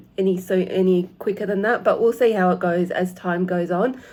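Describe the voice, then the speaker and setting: This woman has an Australian accent and a dark, mellow tone at a medium pitch. She keeps a moderate pace with fairly even intonation. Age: 50s. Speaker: cross-stitch vlogger. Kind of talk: casual vlog talk to camera. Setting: home. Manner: halting, many fillers.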